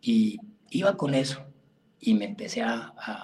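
A man with very wide pitch swings, over noticeable background noise. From Colombia, Caquetá (Florencia). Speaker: birding guide. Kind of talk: interview.

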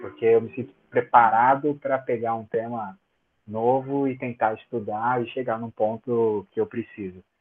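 A man's medium-pitched, monotone, flat delivery at a fairly slow pace, with music in the background. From Brazil, São Paulo. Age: 30s. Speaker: cryptography researcher and tech professor. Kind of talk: casual interview.

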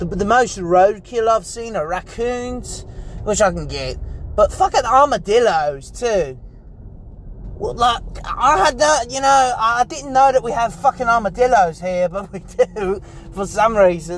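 A man speaks at a fairly slow pace with an extremely high pitch and lively intonation, and noticeable background noise can be heard. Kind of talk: casual chat. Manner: rambling, hesitant with fillers.

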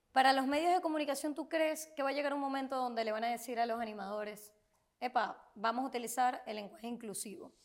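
Talking at a very fast pace, a woman with high pitch shows ordinary pitch variation. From Venezuela, Maracaibo. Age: young. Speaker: podcast host. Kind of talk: interview. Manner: animated.

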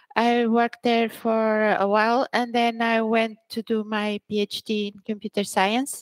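This woman with a Portuguese accent talks at a fairly slow pace with hardly any pauses, her fairly high voice held to a monotone, flat intonation while its loudness swings widely, all in a dry, close sound with no echo. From Portugal (Braga), born in Angola. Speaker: senior technical writer. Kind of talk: interview.

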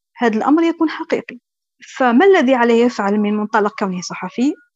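A woman with a high pitch and lively intonation is heard in a dry, close recording with no echo. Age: young. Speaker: journalist. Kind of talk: interview.

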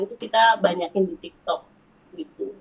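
A woman talks at a fairly quick pace. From Central Java, Wonosobo. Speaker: ethnic fashion business owner. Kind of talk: casual chat.

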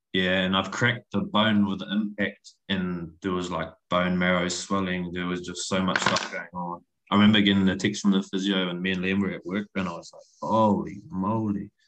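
Monotone, flat intonation at a moderate pace, with big swings in loudness. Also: man, very deep, low pitch for a man. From northern England, Wigan near Manchester. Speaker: podcast guest. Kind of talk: casual chat.

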